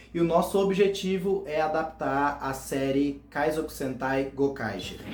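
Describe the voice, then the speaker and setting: A man with a Goiás accent talks at a fairly slow pace with ordinary pitch variation, amid audible room echo and noticeable background noise. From Goiás, Brazil. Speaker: fan series creator, youtuber. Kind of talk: casual explainer video.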